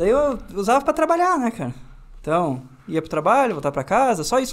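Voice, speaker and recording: A man speaks with very wide swings in pitch. His pace is fairly quick. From Paraná, southern Brazil (near Pato Branco/Francisco Beltrão); Paraná, Brazil. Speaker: motorcycle youtuber. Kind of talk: casual interview. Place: studio. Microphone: studio mic.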